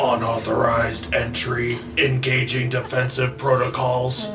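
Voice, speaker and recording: A put-on character voice growls and sounds robotic at a moderate pace. Loud background noise runs underneath. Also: man, medium pitch for a man. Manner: robotic, threatening.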